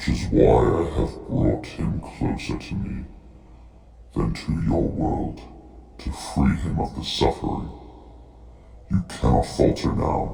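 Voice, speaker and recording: Clear background noise sits under a growling, put-on character voice delivered at a fairly slow pace. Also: man, very deep, low pitch for a man. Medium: audio drama. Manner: calm, authoritative.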